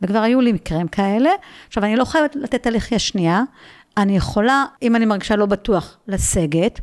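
In a very clean recording with a silent background and a dry, close sound with no echo, a woman with a normal speaking voice talks at a moderate pace, with a fairly high pitch, lively intonation and very even loudness. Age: 60s. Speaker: philosophy lecturer and mindfulness teacher. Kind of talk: casual interview. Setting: at her home.

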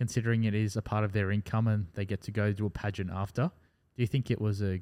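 A man with an Australian accent speaks at a fairly quick pace, his fairly low voice dark and mellow with fairly even intonation. The recording is very clean, with a silent background and a dry, close sound with no echo. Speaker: podcast host and mortgage broker. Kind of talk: casual chat.

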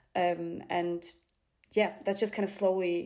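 A woman with a Bulgarian accent speaks in a dark, mellow tone. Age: young. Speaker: opera répétiteur (vocal coach pianist). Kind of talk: interview.

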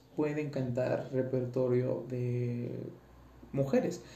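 Audible room echo surrounds a man whose medium-pitched voice is somewhat breathy. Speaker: tenor student podcaster. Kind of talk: casual monologue. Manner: halting.

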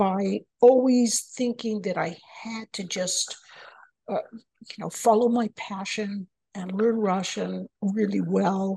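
Speaking very slowly with an American accent, a woman sounds somewhat breathy. Her pitch is fairly high, with ordinary variation. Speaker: engineering professor and author. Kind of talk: interview. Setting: remote call.

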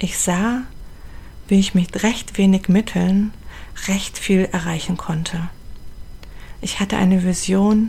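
Speaking at a very slow pace with long, frequent pauses, a woman with a medium pitch keeps a fairly even intonation over noticeable background noise. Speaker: podcast host and charity founder. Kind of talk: personal narration.

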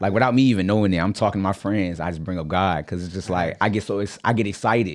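On a very clean recording with a silent background, a man with a very deep, low pitch speaks at a very fast pace with hardly any pauses and ordinary pitch variation. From Virginia. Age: 20s. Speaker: real estate agent and podcaster. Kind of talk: casual interview chat.

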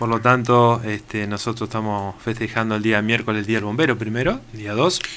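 With a bright, sharp tone and a medium pitch, a man speaks at a fairly quick pace with fairly even intonation and hardly any pauses. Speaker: fire brigade chief. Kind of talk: radio interview.

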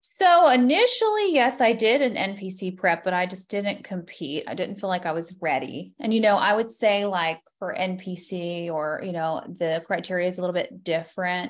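With an unremarkable speaking voice, a woman with an American accent talks at a moderate pace and medium pitch, with ordinary pitch variation, hardly any pauses, and a very clean recording with a silent background. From Florida. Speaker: nurse practitioner and bikini competitor. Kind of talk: casual interview.

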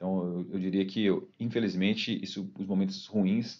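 A man's fairly low voice at a moderate pace. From Minas Gerais, Brazil (Belo Horizonte, Ouro Branco). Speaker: football fan, former youth team director and kit man. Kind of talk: casual interview.

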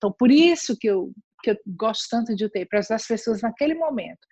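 Here a woman speaks with ordinary pitch variation. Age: 60s. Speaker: palliative care nurse. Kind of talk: interview.

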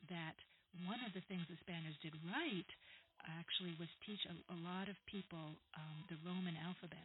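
At a moderate pace, a woman with an American accent and a fairly low pitch speaks in an ordinary speaking voice. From New York / New Jersey area. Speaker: history professor. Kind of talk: interview.

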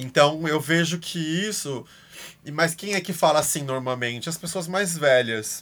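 Very clean, with a silent background, the recording captures a man speaking. He goes at a very slow pace with lively intonation. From Brazil. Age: 30s. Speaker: art educator. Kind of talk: casual chat.

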